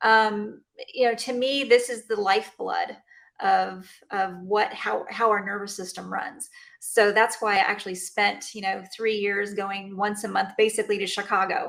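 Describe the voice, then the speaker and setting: On a very clean recording with a silent background, a woman speaks at a moderate pace with a Texan accent. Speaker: chiropractor. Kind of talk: interview. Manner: halting, many fillers.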